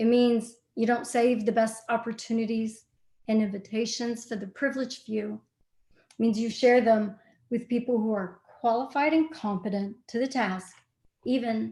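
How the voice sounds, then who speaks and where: With a dark, mellow tone, a woman talks using fairly even intonation. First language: not English. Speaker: lawyer. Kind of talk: panel discussion.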